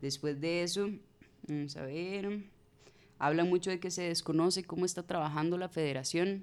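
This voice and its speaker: The speaker has a Costa Rican accent and talks at a moderate pace. Long pauses come frequently. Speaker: community communication activist. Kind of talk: casual panel discussion.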